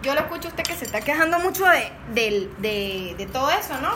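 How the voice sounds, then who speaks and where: Over noticeable background noise and audible room echo, a woman talks at a fairly quick pace in a raised, projected voice with very wide pitch swings. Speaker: podcast co-host. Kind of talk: casual chat.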